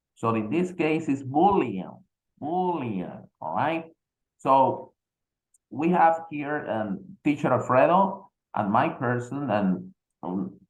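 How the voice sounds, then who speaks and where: A man with a Spanish accent talks at a very slow pace, his fairly high pitch swinging very widely. Long pauses come often. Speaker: English teacher. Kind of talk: casual chat.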